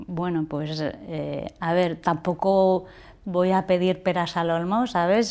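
A woman speaks very slowly at a fairly low pitch, on a very clean recording with a silent background. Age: 50s. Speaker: industrial engineer. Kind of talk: casual interview.

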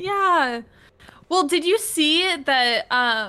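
This woman's voice is raised and projected, with a bright, sharp tone. She speaks with a West Coast accent. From US Pacific Northwest, Washington. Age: 20s. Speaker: content creator. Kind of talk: casual chat.

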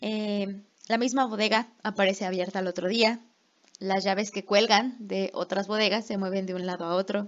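A woman speaks at a moderate pace with a medium pitch. Her intonation stays monotone and flat. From Mexico. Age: 20s. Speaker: podcast co-host, English teacher. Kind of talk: casual chat.

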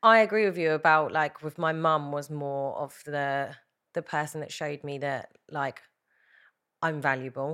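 A woman speaks with a southern English accent on a very clean recording with a silent background. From England, Hertfordshire. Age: 30s. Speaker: reality TV winner. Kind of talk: casual chat.

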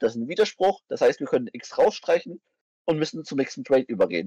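A man speaks at a very fast pace, with a dry, close sound and no echo. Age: 20s. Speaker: vegan activist, philosophy enthusiast. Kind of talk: casual chat about philosophy.

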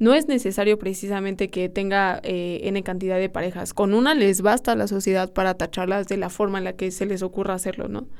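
A woman with a plain, everyday voice talks at a fairly quick pace, hardly pausing, her intonation fairly even. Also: medium pitch for a woman. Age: 20s. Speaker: podcast host, university student. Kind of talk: casual chat.

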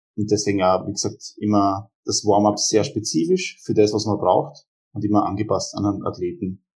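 Against a quiet background, a normal speaking voice moves at a moderate pace with fairly even intonation. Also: man. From Austria, Graz (Styria). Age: 20s. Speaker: powerlifter and strength coach. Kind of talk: casual interview.

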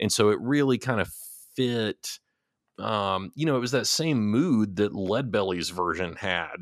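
On a very clean recording with a silent background, a man with a slight Texas accent talks at a fairly slow pace in a fairly low voice. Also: ordinary pitch variation. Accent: slight Texas twang. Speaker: music podcast co-host. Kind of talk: casual chat.

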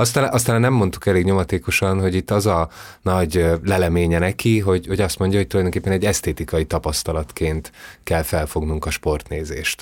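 Over a silent background in a very clean recording, a man with a very deep, low pitch talks at very even loudness with ordinary pitch variation. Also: fairly quick pace. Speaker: podcast co-host. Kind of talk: book discussion.

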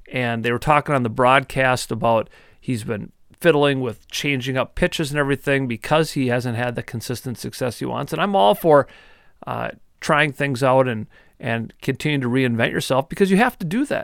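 Speaking at a moderate pace with ordinary pitch variation, a man with an Upper Midwest accent is heard in a very clean, dry, close recording with no echo and a silent background. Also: medium pitch for a man. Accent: Upper Midwest (Minnesota). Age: 40s. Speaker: sports podcast host. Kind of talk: casual sports talk.

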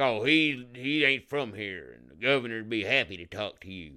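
Putting on a character voice in a Southern US accent, a man speaks at a moderate pace with medium pitch. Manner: mocking.

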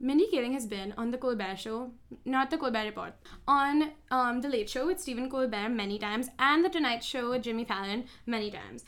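Speaking at a fairly quick pace, a woman uses a high pitch with ordinary pitch variation and an animated tone. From India (Mumbai). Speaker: podcast host, student actor and writer. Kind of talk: casual chat; analytical commentary.

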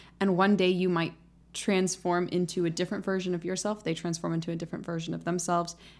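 In a very clean recording with a silent background, a woman speaks at a very fast pace with monotone, flat intonation. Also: fairly low pitch for a woman. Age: 20s. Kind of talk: casual chat.

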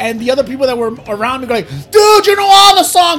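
A man with a Puerto Rican accent talks at a very fast pace in a raised, projected voice, with an extremely high pitch and very wide pitch swings. Noticeable background noise runs behind him. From Puerto Rico. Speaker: podcast host. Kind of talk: casual chat. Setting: studio. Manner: fast talker; excitable.

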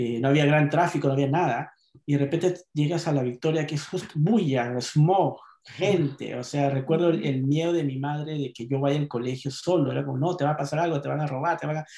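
At a fairly quick pace, a man with a fairly high pitch and an ordinary speaking voice talks with fairly even intonation. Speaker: poet and novelist. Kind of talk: casual chat.

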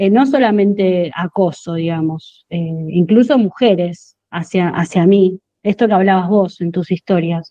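A woman's dark, mellow voice at a medium pitch and a very slow pace. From Argentina, Monte Grande, southern Greater Buenos Aires. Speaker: chemistry teacher. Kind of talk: interview.

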